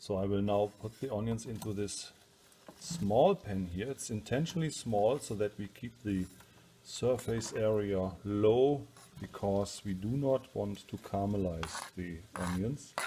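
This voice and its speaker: Here a man talks at a fairly slow pace with a German accent. His pitch is fairly low. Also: ordinary pitch variation. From Germany. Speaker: home cook. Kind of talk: cooking tutorial. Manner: casual with many hesitations.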